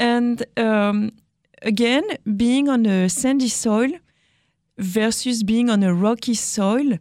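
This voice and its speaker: A woman speaks with a French accent at a fairly high pitch. Her pace is fairly slow. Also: very clean recording, silent background. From France. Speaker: winemaker. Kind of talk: casual interview.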